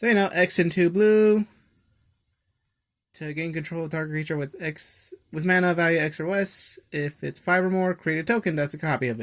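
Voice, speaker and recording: The recording is very clean, with a silent background. Delivery comes at a moderate pace. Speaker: card game content creator. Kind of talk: casual unboxing commentary. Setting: home recording late at night.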